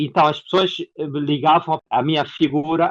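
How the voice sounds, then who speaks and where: A man speaks with an Angolan accent. His pitch is fairly high. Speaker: actor and theatre producer. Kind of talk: interview.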